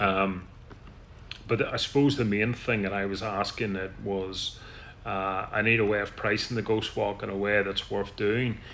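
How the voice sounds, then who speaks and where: A man with a Northern Irish accent at a moderate pace, fairly low pitch and monotone, flat intonation. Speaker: tour guide. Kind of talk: business meeting. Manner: loud; halting.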